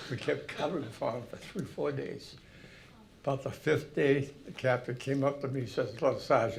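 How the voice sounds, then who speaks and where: A man with an eastern New England accent speaks at medium pitch and a moderate pace. Room echo is audible. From Massachusetts, Haverhill. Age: 90s. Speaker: war veteran. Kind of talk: talk to an audience. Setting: hall with audience. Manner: halting.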